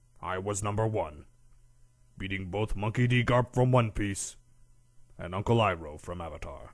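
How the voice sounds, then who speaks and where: With long, frequent pauses, a man speaks at a moderate pace and fairly low pitch against a quiet background. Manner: smug, boastful.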